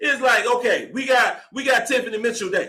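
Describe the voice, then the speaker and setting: Projected and raised, a man's bright, sharp voice at an extremely high pitch moves at a fairly quick pace. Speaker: sports podcast host. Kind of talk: live postgame show, casual commentary. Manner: fast; animated.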